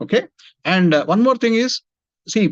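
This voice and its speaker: A man with an Indian accent, lively intonation and a fairly quick pace. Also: dry, close sound with no echo. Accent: Indian English, Telugu. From India, Hyderabad. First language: Telugu. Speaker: engineering industry executive. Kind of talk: career talk to students.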